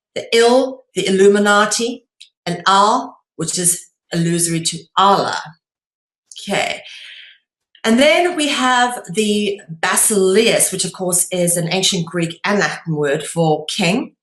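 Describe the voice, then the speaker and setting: A woman speaks with a South African accent. Her pitch is medium and her pace fairly slow. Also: ordinary pitch variation. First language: Afrikaans. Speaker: online lecturer on esoteric topics. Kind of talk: lecture. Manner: hesitant, many filler sounds.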